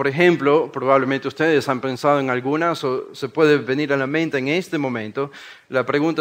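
Speaking at a moderate pace, a man with a coastal Ecuadorian accent uses a fairly high pitch and fairly even intonation. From Ecuador, Guayaquil. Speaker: preacher. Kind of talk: sermon-style workshop talk. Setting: conference workshop with live audience.

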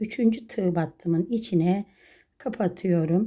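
A woman's somewhat breathy voice, dark and mellow in tone, over a quiet background. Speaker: crochet craft YouTuber. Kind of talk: tutorial. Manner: slow, step-by-step counting. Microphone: phone near.

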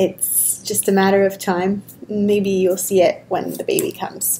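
Over light background noise, a woman speaks at a fairly slow pace in a monotone, flat intonation. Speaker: yoga teacher. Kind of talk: casual vlog chat and tutorial. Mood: warm, cheerful, laughing. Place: home room. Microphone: webcam.

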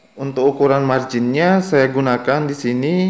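A man talks at a fairly slow pace. He has a plain, everyday voice with ordinary pitch variation. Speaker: YouTube tutorial creator. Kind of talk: tutorial.

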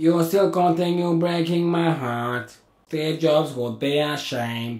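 A man speaks at a fairly slow pace in a put-on character voice, fairly high in pitch, with a slight echo. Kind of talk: scripted comedy dialogue. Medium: voice reel. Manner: calm, deadpan, menacing. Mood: reproachful.

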